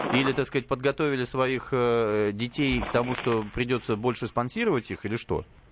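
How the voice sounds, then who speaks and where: Here is an ordinary speaking voice: a man talking at a moderate pace and medium pitch with hardly any pauses. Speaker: radio host. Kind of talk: talk radio discussion. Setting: studio.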